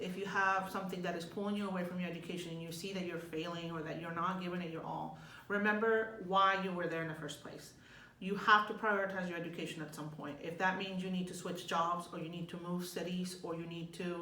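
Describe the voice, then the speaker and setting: The speech comes at a very fast pace with fairly even intonation. Noticeable background noise and audible room echo fill the recording. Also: woman. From Mexico, moved to US at nine. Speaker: graduate student. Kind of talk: casual advice chat.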